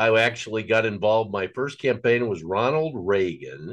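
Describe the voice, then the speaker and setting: Over a quiet background, a man with an American accent speaks fairly slowly in an unremarkable speaking voice, medium in pitch with ordinary pitch variation. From Nebraska, US Midwest. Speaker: political action committee chairman and former radio host. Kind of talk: casual chat.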